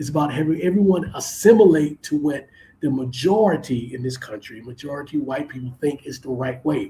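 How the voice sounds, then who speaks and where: The loudness jumps and drops sharply, and the voice is somewhat breathy with a dark, mellow tone. It carries a Southern US accent and ordinary pitch variation. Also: man. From US South. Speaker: podcast host. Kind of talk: live stream commentary. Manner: halting.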